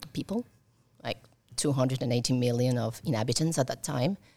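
Vocal fry runs through a woman's very deep, low voice, which keeps a fairly even intonation. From Italy, raised abroad by Colombian parents. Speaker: embassy staff member and mother. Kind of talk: interview. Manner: halting, many fillers.

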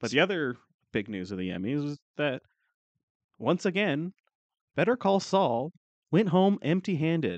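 The speaker has a slight Canadian accent and talks at a moderate pace, with long, frequent pauses and very wide pitch swings. The sound is dry and close with no echo, over a quiet background. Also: man, fairly high pitch for a man. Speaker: podcast co-host. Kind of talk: casual chat. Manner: joking, sarcastic.

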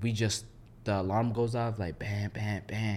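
An unremarkable speaking voice with an American accent. It keeps a moderate pace. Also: man. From Minneapolis suburbs, Minnesota. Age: 20s. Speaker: military veteran. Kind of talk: casual chat.

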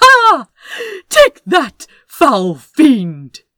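A woman shouts in a put-on character voice with a high pitch, the sound dry and close with no echo. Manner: shouting, triumphant.

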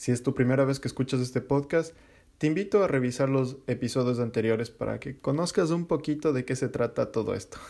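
This man talks at a fairly quick pace with ordinary pitch variation. His voice is medium-pitched, dark and mellow. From Ecuador, Quito. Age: 30s. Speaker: podcast host. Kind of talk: personal monologue.

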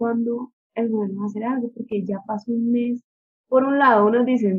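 Her voice fairly high in pitch, a woman talks at a moderate pace with monotone, flat intonation. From Colombia, Ibagué. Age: 20s. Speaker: business administrator. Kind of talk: interview.

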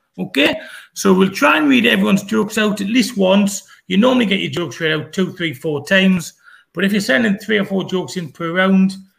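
A man with a high voice speaks in a lively, varied intonation. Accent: Geordie. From northern England (Newcastle). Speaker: comedy show host. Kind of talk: online comedy show hosting.

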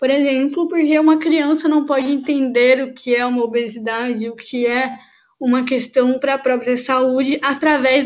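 A woman with a high voice talks at a moderate speed, keeping her intonation fairly level. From Brazil, Campinas, São Paulo state. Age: 20s. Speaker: obstetrics student. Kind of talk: interview.

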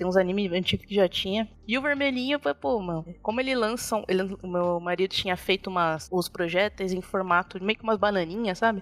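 A woman's unremarkable speaking voice at medium pitch, with ordinary pitch variation and a fairly quick pace. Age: 30s. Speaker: game artist. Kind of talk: interview. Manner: casual, laughs often.

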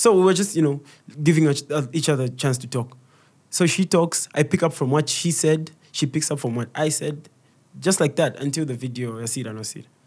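Here a man speaks at a fairly quick pace, his voice fairly high and somewhat breathy with ordinary pitch variation. The recording is very clean, with a silent background. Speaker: comedian and content creator. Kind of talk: casual interview.

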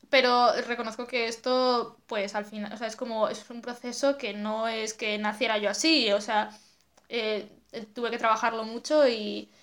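Her voice is fairly high for a woman and monotone, with flat intonation. She speaks at a fairly slow pace. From Asturias, Spain. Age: 20s. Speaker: photographer and zine maker. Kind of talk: casual chat.

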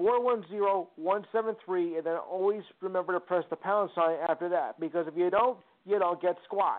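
Delivery is fairly slow. Pitch movement stays fairly even throughout. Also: man, high pitch for a man. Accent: New Jersey. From New Jersey. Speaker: caller. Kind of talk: call-in sports talk. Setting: phone call. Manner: halting.

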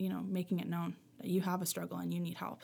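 With a Maritime Canadian accent, a woman talks at a very fast pace in a fairly low pitch, her voice showing vocal fry. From Nova Scotia, Canada (Halifax area). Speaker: teacher's aide. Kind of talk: casual chat.

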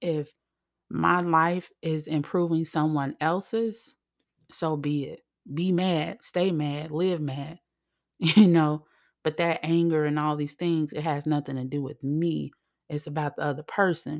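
At a fairly slow pace, a woman with a low pitch speaks in fairly even intonation on a very clean recording with a silent background.

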